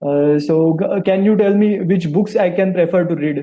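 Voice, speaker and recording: This man speaks with an Indian accent. His pace is fairly slow. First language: Marathi. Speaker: English learner, sales professional. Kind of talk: tutoring session. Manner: halting.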